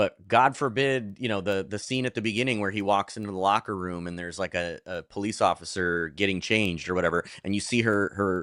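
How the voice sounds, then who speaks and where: Fairly low in pitch, this man's voice has a bright, sharp tone and ordinary pitch variation at a fairly quick pace. The recording is very clean and dry, close with no echo, over a silent background. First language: Polish. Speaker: movie podcast host. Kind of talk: casual chat.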